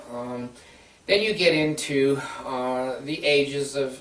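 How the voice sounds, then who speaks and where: Over noticeable background noise and audible room echo, a man talks at a very slow pace with a fairly high pitch and ordinary pitch variation. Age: 60s. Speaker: counselor and video blogger. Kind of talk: informal talk to camera. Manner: halting, many fillers.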